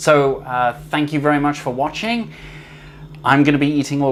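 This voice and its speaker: Someone with a British accent is heard over noticeable background noise. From UK. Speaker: food YouTuber. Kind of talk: unboxing video. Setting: kitchen.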